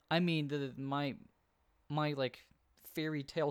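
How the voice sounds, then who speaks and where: A man's ordinary speaking voice, fairly high in pitch and fairly slow, dry and close with no echo on a very clean recording with a silent background. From United States. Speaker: podcast co-host. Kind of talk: casual discussion.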